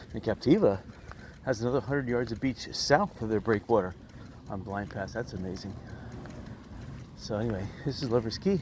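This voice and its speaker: The speech moves at a fairly quick pace with ordinary pitch variation, broken by long, frequent pauses. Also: man. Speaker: vlogger. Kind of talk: casual vlog narration. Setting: outdoors on a beach, bicycling.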